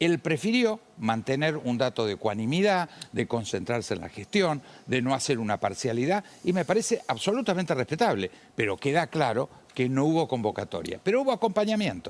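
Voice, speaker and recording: His pitch is fairly high and swings very widely, while his loudness stays very even. This man speaks at a fairly quick pace. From Argentina. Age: 70s. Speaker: politician. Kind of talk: heated debate. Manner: animated.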